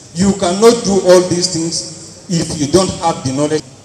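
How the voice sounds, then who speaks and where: A man with a high pitch speaks at a moderate pace with ordinary pitch variation. Light background noise and audible room echo are present. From Nigeria, Taraba State. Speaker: accountant; conference presenter. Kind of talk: group presentation. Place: hall. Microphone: handheld.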